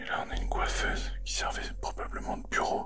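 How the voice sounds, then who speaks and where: Whispering at a fairly slow pace, a man is heard with audible room echo and music in the background. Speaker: urban explorer YouTuber. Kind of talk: first-person exploration vlog. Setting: abandoned house at night.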